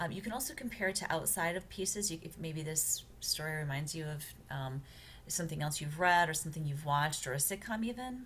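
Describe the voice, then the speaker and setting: Here a woman speaks in a fairly low pitch. Audible room echo is present. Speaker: college writing instructor. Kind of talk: recorded lecture walkthrough. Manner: fast; hesitant, many fillers.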